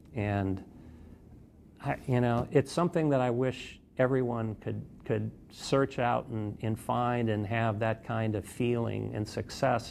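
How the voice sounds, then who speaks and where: A man talks fairly slowly at a pitch that is medium for him, and his pitch varies an ordinary amount. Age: 60s. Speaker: investigative reporter. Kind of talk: interview testimony. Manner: halting, many fillers and repetitions.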